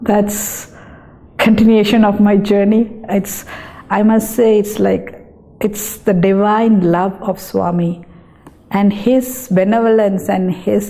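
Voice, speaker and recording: Very slowly and in a flat monotone, a woman speaks with a Tamil accent over noticeable background noise. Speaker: dietitian. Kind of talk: interview testimony.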